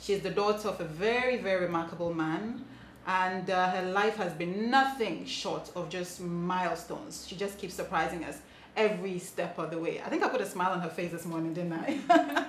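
Audible room echo and light background noise surround a woman talking at a moderate pace with ordinary pitch variation. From Ghana. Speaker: TV show host. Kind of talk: interview. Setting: outside the studio. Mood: warm, upbeat. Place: home room.

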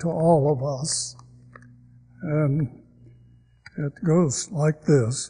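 Against a quiet background, a man with an American accent speaks very slowly in a fairly high, somewhat breathy voice with ordinary pitch variation and long, frequent pauses. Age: 80s+. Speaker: church member. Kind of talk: letter read aloud to congregation. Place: church. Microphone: podium.

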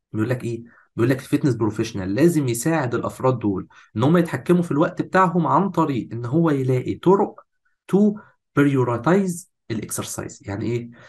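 A man's somewhat breathy voice with an Egyptian accent, lively intonation and a fairly quick pace. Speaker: fitness course instructor. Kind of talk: lecture. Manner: animated.

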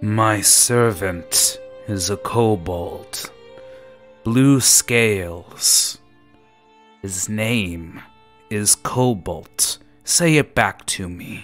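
A man speaks in a put-on character voice at a medium pitch and a very slow pace, with faint music in the background. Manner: menacing, imperious, condescending.

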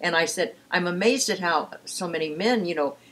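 At a moderate pace, a woman with a fairly low pitch speaks in a fairly bright tone with a slightly husky edge and ordinary pitch variation.

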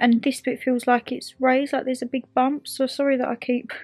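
A woman's high-pitched voice, monotone and flat in intonation, at a fairly quick pace. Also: quiet background. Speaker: vlogger. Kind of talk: casual vlog chat. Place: home room. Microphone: phone near.

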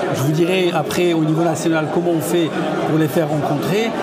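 Someone talks at a moderate pace while crowd noise fills the background. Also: man. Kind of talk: interview answer. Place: hall. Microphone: lapel.

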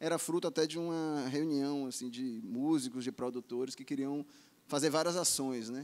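A man with a plain, everyday voice talks at a fairly quick pace with ordinary pitch variation. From Bahia, Brazil (Salvador). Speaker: music journalist and festival producer; music journalist. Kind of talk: panel discussion; panel discussion answer. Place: bar. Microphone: handheld.

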